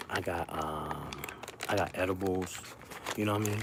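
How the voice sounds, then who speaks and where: Noticeable background noise surrounds a man speaking at a moderate pace. His pitch is very deep and low. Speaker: live streamer. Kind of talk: casual livestream chat. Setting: down the shore on vacation. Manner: loud.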